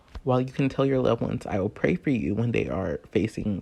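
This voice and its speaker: A man's voice with vocal fry. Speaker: video essayist and podcast host. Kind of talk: spoken word essay.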